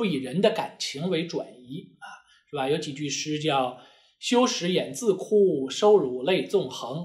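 Against a quiet background, a man speaks fairly slowly at a fairly high pitch, with lively intonation and big swings in loudness. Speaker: immigration lawyer. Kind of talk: lecture. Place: office.

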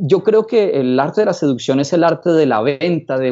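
Against a quiet background, a man with a fairly high pitch speaks with very wide pitch swings. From Colombia, Bogotá. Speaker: psychologist and seduction coach; seduction coach. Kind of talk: casual interview. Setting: his office. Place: office. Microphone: video call.

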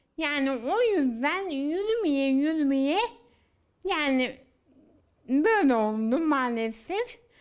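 Against a quiet background, a woman with a high voice speaks at a very slow pace, making very wide pitch swings and long, frequent pauses. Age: 30s. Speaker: daughter of the featured mother, has walking difficulty; interviewee. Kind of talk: news interview. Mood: frustrated, complaining. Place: home room. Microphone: handheld.

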